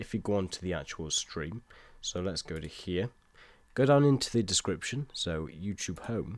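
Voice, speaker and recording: In a British accent, a man with a fairly low pitch speaks with lively intonation. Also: moderate pace. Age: 20s. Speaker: gaming live streamer. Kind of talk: casual live-stream chat. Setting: live stream from home.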